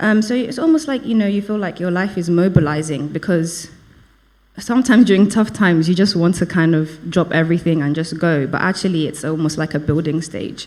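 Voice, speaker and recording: At a fairly quick pace, a woman with a fairly low voice speaks with ordinary pitch variation. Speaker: lay preacher. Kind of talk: sermon. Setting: church service. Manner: hesitant, many fillers.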